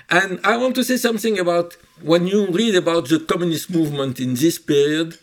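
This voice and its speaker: The speaker has a French accent, lively intonation and a fairly quick pace. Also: man. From Egypt, Cairo. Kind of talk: interview.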